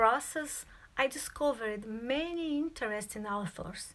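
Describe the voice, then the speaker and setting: A woman with a Brazilian accent speaks at a fairly slow pace in a bright, sharp tone, her pitch varying in an ordinary way. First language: Portuguese. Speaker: student. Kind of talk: presentation.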